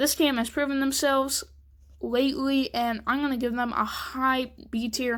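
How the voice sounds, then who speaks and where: Recorded very cleanly over a silent background, a woman speaks at a high pitch. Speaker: gaming YouTuber. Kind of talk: casual commentary.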